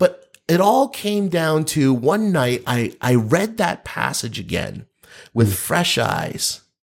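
A man with an American accent talks very slowly at a fairly high pitch. His pitch swings very widely. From US Northeast, New Jersey. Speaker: pastor. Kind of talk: casual chat.

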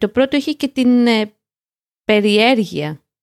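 The recording is dry and close with no echo, carrying a woman's high-pitched voice. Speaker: podcast co-host, language learning show. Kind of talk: casual chat. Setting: remote call.

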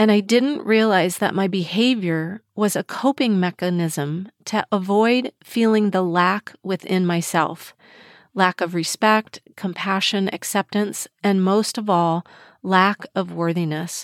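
A woman with a plain, everyday voice, medium pitch and ordinary pitch variation, a fairly slow pace and very even loudness, in a dry, close sound with no echo on a very clean recording with a silent background. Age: 60s. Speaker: mindset coach and podcast host. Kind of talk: solo podcast monologue.

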